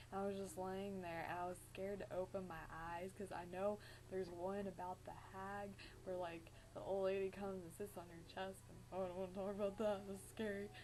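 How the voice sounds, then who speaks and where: Over noticeable background noise, a woman talks at a fairly quick pace in a monotone, flat intonation. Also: medium pitch for a woman. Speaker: vlogger. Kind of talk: casual vlog storytelling. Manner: fast; frequent filler 'like'.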